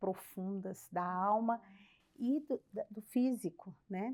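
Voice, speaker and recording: At a very slow pace, a woman speaks with medium pitch and a dark, mellow tone. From Brazil, Belo Horizonte. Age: 60s. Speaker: church member, former mission leader. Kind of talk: casual chat.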